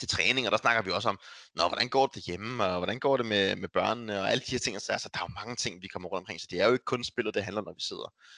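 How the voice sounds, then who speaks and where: A man speaks at a very fast pace in a medium pitch, with ordinary pitch variation. The sound is dry and close with no echo, over a quiet background. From Denmark, North Zealand. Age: 20s. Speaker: professional esports player. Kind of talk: casual interview chat. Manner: halting, many repetitions.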